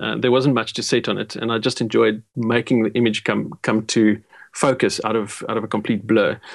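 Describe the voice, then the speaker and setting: Medium-pitched man with vocal fry, flat monotone intonation, moderate pace. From South Africa, Port Elizabeth. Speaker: photographer. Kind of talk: interview.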